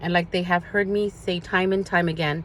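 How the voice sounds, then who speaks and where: Her fairly low voice moves at a moderate pace, and this woman keeps her intonation fairly even. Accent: Spanish. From US, Spanish-speaking immigrant family. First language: Spanish. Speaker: social media vlogger. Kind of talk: personal address to viewers. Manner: earnest, some hesitation.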